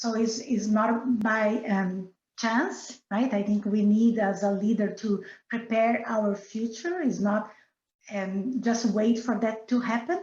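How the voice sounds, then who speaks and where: A woman with a Brazilian accent speaks at a very slow pace in a somewhat breathy voice. Her pitch is fairly high, with ordinary pitch variation. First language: Portuguese. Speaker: business director. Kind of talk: interview. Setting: podcast. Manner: halting.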